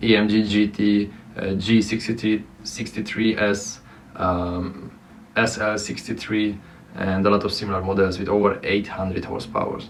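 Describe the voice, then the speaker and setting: Over noticeable background noise and audible room echo, a man speaks at a moderate pace in a fairly low, monotone, flat voice. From Romania. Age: 20s. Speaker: content creator. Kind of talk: personal vlog monologue. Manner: halting, many fillers.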